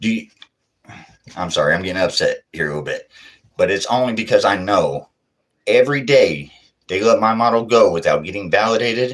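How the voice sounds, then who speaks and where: A man speaks at a fairly quick pace but leaves long, frequent pauses. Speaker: livestreamer sharing fringe science theories. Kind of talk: solo livestream monologue. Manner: fast; not always clear, halting.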